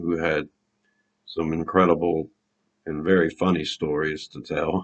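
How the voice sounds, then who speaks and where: Here a man talks with a very deep, low pitch. His intonation is monotone and flat. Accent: Louisiana. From Louisiana. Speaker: fan video host. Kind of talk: casual vlog storytelling.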